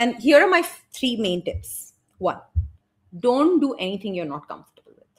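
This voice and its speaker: Speaking in an Indian accent, a woman sounds animated at a moderate pace, her high voice making very wide pitch swings and big swings in loudness. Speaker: business and brand coach. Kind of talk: interview conversation.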